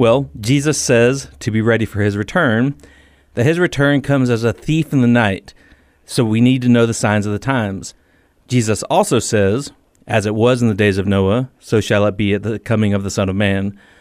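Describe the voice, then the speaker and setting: In a very clean recording with a silent background, a normal speaking voice moves at a moderate pace with ordinary pitch variation. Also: man, medium pitch for a man. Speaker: author and former Marine. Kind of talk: radio interview.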